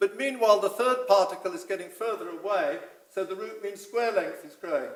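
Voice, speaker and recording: A man talks at a fairly quick pace in a high voice with ordinary pitch variation. Audible room echo surrounds him. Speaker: physicist giving a conference talk. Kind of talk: lecture. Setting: conference hall with audience. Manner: hesitant, many fillers.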